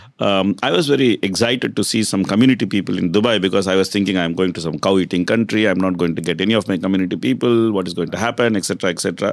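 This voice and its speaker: In an Indian accent, a man with a fairly low pitch and ordinary pitch variation talks at a very fast pace, recorded very cleanly with a silent background. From South India, Tamil Nadu (Kumbakonam). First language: Saurashtra. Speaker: hospital and development manager. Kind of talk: interview. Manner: frequent hesitations (uh, um).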